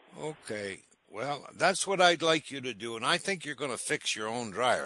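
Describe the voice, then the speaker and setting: A man's bright, sharp voice with an American accent and lively intonation, in a dry, close sound with no echo and a quiet background. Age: old. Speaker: appliance repair expert radio host. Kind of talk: radio call-in advice. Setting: studio.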